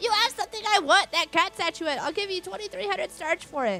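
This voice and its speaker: A squeaky, put-on character voice, raised and projected, at a moderate pace with faint music in the background. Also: woman, extremely high pitch for a woman. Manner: angry, screeching.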